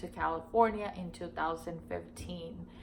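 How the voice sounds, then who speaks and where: The speaker has an American accent and a fairly slow pace. Audible room echo surrounds the voice. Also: woman. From Miami, Florida and Nicaragua. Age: 40s. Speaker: vlogger. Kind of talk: casual Q&A talk to camera. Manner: hesitant, many fillers.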